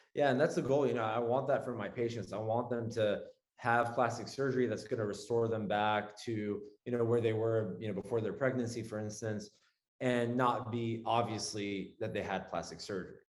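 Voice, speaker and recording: Audible room echo surrounds a man's voice. He talks at a fairly quick pace with fairly even intonation. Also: medium pitch for a man. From Lebanon, moved to US at twelve. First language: Arabic. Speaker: plastic surgeon. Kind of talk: casual interview.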